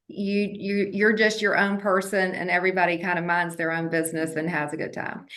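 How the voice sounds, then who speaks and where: A woman with an American accent at a fairly quick pace, with fairly even intonation and hardly any pauses, amid noticeable background noise and audible room echo. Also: medium pitch for a woman. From Georgia, US South (Athens). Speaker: real estate broker. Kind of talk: interview.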